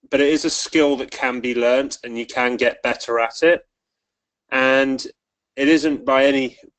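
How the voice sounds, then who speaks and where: A man speaks at a medium pitch in a monotone, flat intonation. His pace is fairly slow, and the sound is dry and close with no echo. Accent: English. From England. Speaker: rugby referee. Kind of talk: webinar presentation. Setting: online webinar call.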